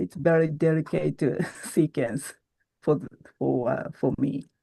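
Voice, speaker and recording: In a Japanese accent, a woman with a very deep, low pitch and vocal fry speaks at a fairly slow pace with lively intonation. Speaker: origami artist. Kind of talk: interview. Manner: halting.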